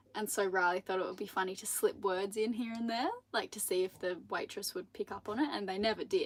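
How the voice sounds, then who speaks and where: Talking at a fairly quick pace, a woman with an Australian accent speaks at a medium pitch. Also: ordinary pitch variation, hardly any pauses. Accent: Australian, milder than partner's. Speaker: sailing vlogger. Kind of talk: live stream Q&A. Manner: animated.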